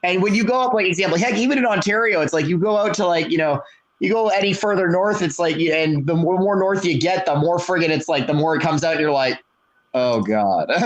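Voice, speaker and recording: Speaking very fast with a slight Canadian accent, a man keeps a high pitch and very even loudness. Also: lively intonation. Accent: mild Canadian English. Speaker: podcast co-host. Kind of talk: casual chat. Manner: animated.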